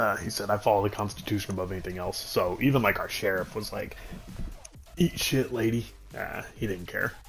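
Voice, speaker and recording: Music plays in the background as a man speaks at a fairly quick pace. His pitch is fairly low, with ordinary variation. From New Mexico, small oil-field town. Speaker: gaming streamer. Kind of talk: casual chat. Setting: live stream. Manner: animated.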